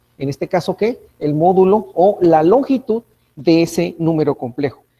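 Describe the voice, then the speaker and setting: This man has a high pitch. His tone is dark and mellow. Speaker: university lecturer. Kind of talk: lecture. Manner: fast; animated.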